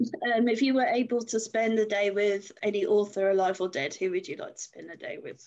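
An ordinary speaking voice at a moderate pace, lively intonation, big swings in loudness and hardly any pauses. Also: woman, fairly high pitch for a woman. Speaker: interviewer. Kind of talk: casual interview chat.

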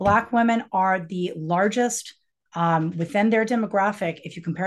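A woman talks at a moderate pace with medium pitch and a Western US accent. The background is quiet. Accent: General American (Western US). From Colorado, outside Denver. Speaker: author and professor. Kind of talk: interview. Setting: video call.

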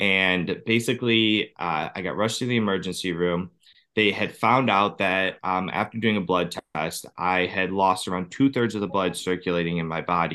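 With an American accent, a man speaks in a very deep, low voice with fairly even intonation. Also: moderate pace. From Ohio, US. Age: 30s. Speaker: cancer survivor and personal trainer. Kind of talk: interview testimony.

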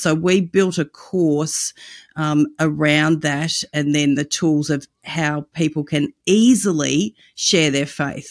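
Recorded very cleanly against a silent background, this Australian-accented voice has ordinary pitch variation and a dry, close sound with no echo. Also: woman. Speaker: evangelism ministry director and podcast host. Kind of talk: interview conversation.

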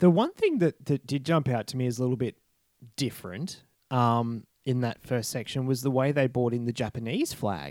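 A man with an Australian accent talks at medium pitch with ordinary pitch variation and a moderate pace. The sound is dry and close, with no echo. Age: 30s. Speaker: podcast host. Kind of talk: casual chat. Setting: remote call.

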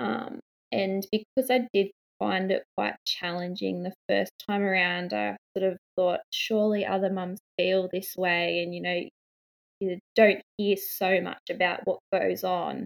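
A woman speaks with an Australian accent. Her pace is fairly slow. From Australia, New South Wales. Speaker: mother and parenting blogger. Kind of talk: interview.

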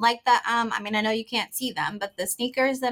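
In an ordinary speaking voice, this speaker talks with an American accent and ordinary pitch variation, recorded very cleanly over a silent background. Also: woman. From Houston, Texas. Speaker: singer-songwriter and record label owner. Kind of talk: interview.

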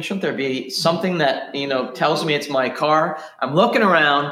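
A man speaks at a moderate pace. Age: 40s. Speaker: pastor. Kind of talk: sermon. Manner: repetitive stammering starts.

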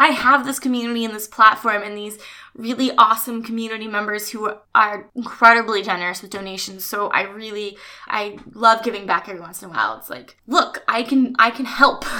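A woman with an American accent and a fairly high pitch, animated in tone, at a fairly quick pace, with big swings in loudness over noticeable background noise. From US West Coast, Orange County, California. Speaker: actress. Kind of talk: casual interview. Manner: animated, frequent laughter.

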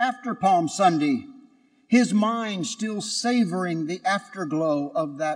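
With lively intonation, this is plain reading aloud.

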